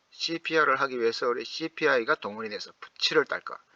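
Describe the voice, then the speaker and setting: A man's fairly high voice with a bright, sharp tone, recorded dry and close with no echo. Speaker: stock investing YouTuber. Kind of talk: casual explainer monologue. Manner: animated, conversational.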